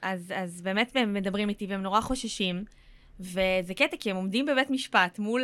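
Bright, sharp tone at a moderate pace with ordinary pitch variation comes through on a very clean recording with a silent background. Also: woman. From central Israel (near Rehovot). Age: 30s. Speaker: actress and content creator. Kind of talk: casual chat.

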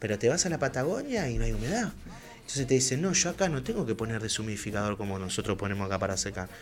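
With music in the background, a man talks at a very fast pace with lively intonation. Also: medium pitch for a man. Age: 30s. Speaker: cannabis grower and club spokesperson. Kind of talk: radio interview. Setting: studio.

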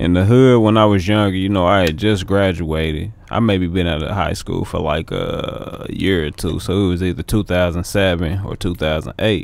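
A man with an American accent speaks in a very deep, low pitch, with ordinary pitch variation. He keeps a moderate pace with hardly any pauses over noticeable background noise. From US inner city. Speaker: musician, actor and model. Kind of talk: casual chat. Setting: studio.

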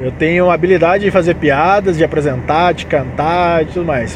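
A high-pitched male voice over noticeable background noise. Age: 30s. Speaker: podcast host, aspiring comedian and musician. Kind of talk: casual solo monologue. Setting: in a car, driving. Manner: talkative.

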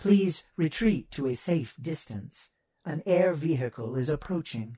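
A man's fairly high, fairly slow put-on character voice. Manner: calm, measured, precise.

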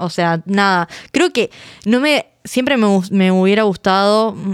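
A woman speaks very slowly at a medium pitch with ordinary pitch variation, on a very clean recording with a silent background. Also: very even loudness, dry, close sound with no echo. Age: 20s. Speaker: podcast host. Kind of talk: casual chat.

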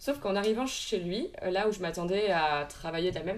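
This woman has an ordinary speaking voice at a medium pitch, with ordinary pitch variation and a fairly quick pace. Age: 20s. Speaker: equine ethologist and riding instructor. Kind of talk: interview.

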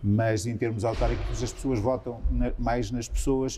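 His dark, mellow voice is somewhat breathy as the man speaks at a moderate pace. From Portugal, Santa Comba Dão (Viseu district, central Portugal). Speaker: member of parliament. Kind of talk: interview.

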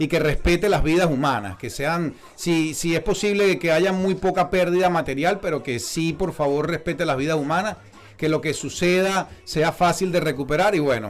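The man talks at a moderate pace. His voice is high-pitched and animated. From eastern Venezuela, Puerto La Cruz. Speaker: podcast host. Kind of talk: casual chat. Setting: studio.

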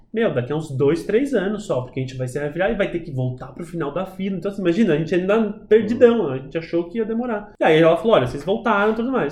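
Against noticeable background noise, a man talks at a very fast pace and high pitch with lively intonation and hardly any pauses. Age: 30s. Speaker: adoptive father, actor by training. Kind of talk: casual interview chat.

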